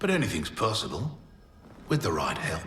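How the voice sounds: Putting on a character voice, a man speaks at a moderate pace in a fairly low pitch, with a bright, sharp tone and very wide pitch swings.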